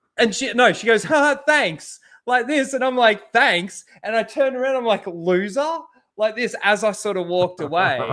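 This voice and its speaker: A man speaks loudly at a moderate pace, his pitch high and his intonation lively. The tone is bright and sharp, and the recording is very clean with a silent background. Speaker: YouTuber. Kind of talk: casual chat.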